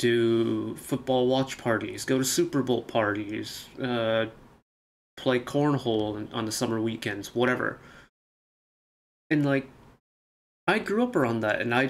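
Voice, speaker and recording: A man speaks at a medium pitch with an American accent, at a fairly slow pace. His intonation stays fairly even, broken by long, frequent pauses. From United States. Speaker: reaction youtuber. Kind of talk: casual monologue. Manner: halting.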